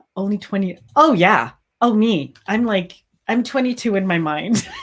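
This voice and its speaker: A woman with a medium pitch sounds enthusiastic, speaking at a moderate pace with lively intonation. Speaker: crochet business owner and livestream host. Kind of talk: casual livestream chat. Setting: live stream.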